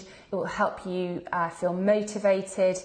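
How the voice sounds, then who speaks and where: A woman is speaking. Her pace is very slow. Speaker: fitness coach and membership founder. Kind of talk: live video presentation. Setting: live stream.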